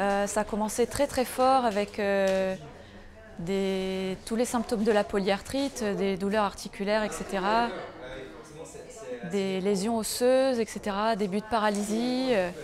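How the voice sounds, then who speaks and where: Over noticeable background noise, a woman speaks at a medium pitch with fairly even intonation and long, frequent pauses. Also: fairly slow pace. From Aveyron, France. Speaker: retreat participant. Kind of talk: interview testimony.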